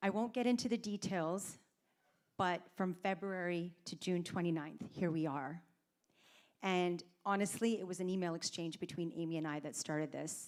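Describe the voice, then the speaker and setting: In a Canadian accent, a woman speaks at a moderate pace and a fairly low pitch with ordinary pitch variation. The recording is very clean, with a silent background. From Canada, Toronto. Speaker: fundraiser organiser. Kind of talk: speech to audience. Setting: stage with audience.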